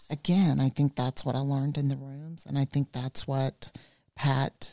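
A woman with a Southern US accent speaks at a moderate pace in a very deep, low voice, recorded very cleanly against a silent background with a dry, close sound and no echo. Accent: Southern US (Georgia). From US South, rural South Georgia. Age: 50s. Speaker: life coach and spiritual guide. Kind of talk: casual chat.

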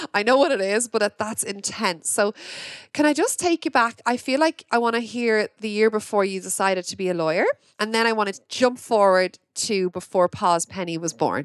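The sound is dry and close with no echo. The speaker has an Irish accent. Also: woman, fairly high pitch for a woman, lively intonation, moderate pace. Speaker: podcast host. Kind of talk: casual interview chat. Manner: excitable.

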